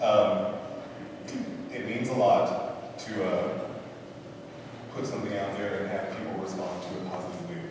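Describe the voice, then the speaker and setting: There is strong room echo and noticeable background noise as a man speaks at a moderate pace. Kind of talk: concert introduction remarks. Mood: warm, a bit emotional. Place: church. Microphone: camera far.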